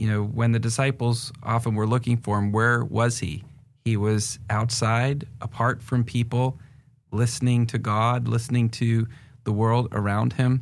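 Speaking in an American accent, a man at medium pitch moves at a fairly slow pace with flat, monotone intonation. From northern New Hampshire, US. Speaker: pastor and nonprofit director. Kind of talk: casual interview conversation.

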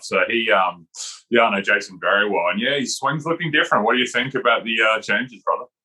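A man speaks with an Australian accent. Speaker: golf teaching pro, former tour player. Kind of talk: casual chat.

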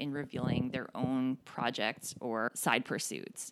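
On a very clean recording with a silent background, a woman talks fairly slowly. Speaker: podcast host. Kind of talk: solo podcast monologue. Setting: home recording alone. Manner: upbeat.

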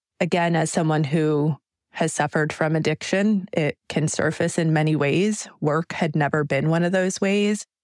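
A woman with an American accent speaks with a very deep, low pitch at a moderate pace. Her intonation is fairly even, her loudness very even, and the sound is dry and close with no echo. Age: 40s. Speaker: labor organizer. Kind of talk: personal testimony.

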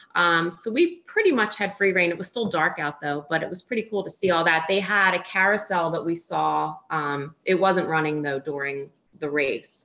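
Her voice is a plain, everyday voice, fairly low for a woman, with ordinary pitch variation, a moderate pace and hardly any pauses. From US Northeast, Philadelphia. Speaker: recreational runner. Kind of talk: interview.

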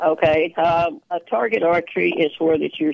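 This woman has a fairly low voice and a strong Texas accent. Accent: strong Texas drawl. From small-town central Texas. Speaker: archer and senior games athlete. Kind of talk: radio interview chat. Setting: phone call.

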